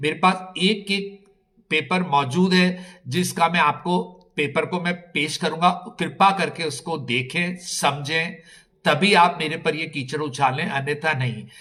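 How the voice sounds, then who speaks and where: This man has a fairly high pitch and a bright, sharp tone, with ordinary pitch variation. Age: 60s. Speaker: palace owner in land dispute. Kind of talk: interview statement. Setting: on location at palace. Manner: halting.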